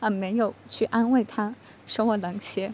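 A woman talks at a moderate pace with fairly even intonation. It is an unremarkable speaking voice. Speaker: student preparing for exams. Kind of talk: testimony.

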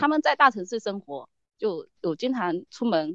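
This woman's voice has a medium pitch. She speaks at a moderate pace. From Fujian, China. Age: 30s. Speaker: rare disease patient and online editor. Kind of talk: interview testimony. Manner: halting, many fillers.

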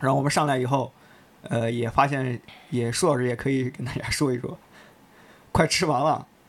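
The voice belongs to a man. He talks fairly quickly, and his pitch shifts in an ordinary way. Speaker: office colleague at a sneaker media outlet. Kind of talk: casual chat.

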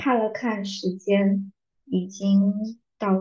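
This woman speaks at a medium pitch in a dark, mellow tone that is somewhat breathy. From southern China. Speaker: book podcast host. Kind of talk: casual monologue. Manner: slow.

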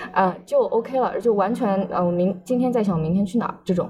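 A woman with lively intonation and an ordinary speaking voice. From Shanghai. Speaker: language graduate. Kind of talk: casual chat.

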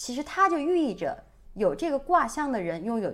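A woman with a northeastern Chinese accent speaks fairly slowly, her pitch swinging very widely. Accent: Mandarin with northeastern Chinese tinge. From Sichuan, China. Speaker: podcast co-host. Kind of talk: casual chat.

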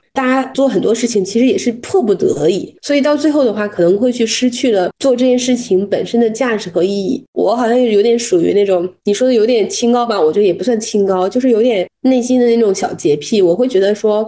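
This woman has an ordinary speaking voice, pitched fairly high. She talks at a fairly quick pace with hardly any pauses. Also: lively intonation. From Dalian, northeast China. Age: 30s. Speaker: corporate culture consultant. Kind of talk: podcast interview.

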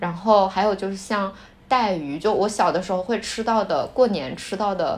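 A woman with a plain, everyday voice talks at a moderate pace in a medium pitch with ordinary pitch variation. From Shanxi, northern China. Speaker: podcast co-host. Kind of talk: casual chat.

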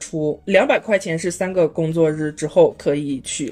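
A woman's voice, somewhat low in pitch, moves at an unhurried but not slow pace. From Inner Mongolia, Baotou. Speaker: traveler sharing trip experience. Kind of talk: casual chat. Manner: hesitant, many fillers.

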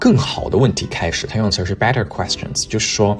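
Noticeable background noise sits behind a man talking at a very fast pace. His pitch is fairly low, with ordinary variation. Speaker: podcast host. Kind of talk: casual solo monologue. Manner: hesitant with frequent fillers and repetitions.

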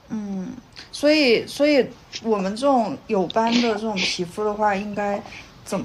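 Her fairly high-pitched voice moves at a fairly slow pace with ordinary pitch variation, and noticeable background noise sits behind this woman. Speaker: podcast co-host. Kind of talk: casual interview. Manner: soft-spoken.

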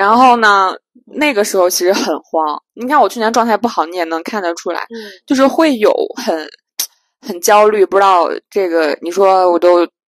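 A woman's animated voice at medium pitch, dry and close with no echo. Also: lively intonation, moderate pace. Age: 30s. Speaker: podcast co-host. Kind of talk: casual chat.

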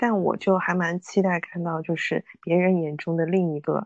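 Someone with a strong Suzhou accent talks at a moderate pace in a dry, close sound with no echo and a quiet background. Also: woman. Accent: fairly strong Suzhou. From Suzhou, China. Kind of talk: casual chat.

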